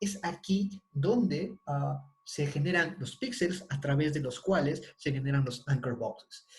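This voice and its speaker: A man's fairly high, somewhat breathy voice with lively intonation, fairly slow in pace yet with hardly any pauses. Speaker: university lecturer. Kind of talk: online lecture.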